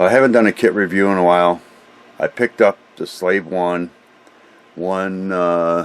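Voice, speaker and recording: A man's very deep, low voice at a moderate pace, with fairly even intonation, long, frequent pauses and a dry, close sound with no echo. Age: 60s. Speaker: scale model hobbyist. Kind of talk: product review. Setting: home hobby room workbench. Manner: halting, many fillers; casual.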